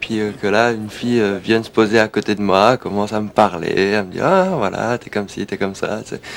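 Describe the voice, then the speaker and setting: This man talks fairly quickly. His voice is pitched fairly low. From France, Alsace. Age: 20s. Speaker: DJ and record seller. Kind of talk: documentary interview. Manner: hesitant, many fillers.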